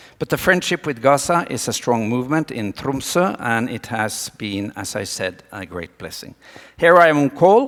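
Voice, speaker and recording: Speaking at a moderate pace in a Norwegian accent, a man uses lively intonation. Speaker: doctor and speaker. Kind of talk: conference talk. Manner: animated.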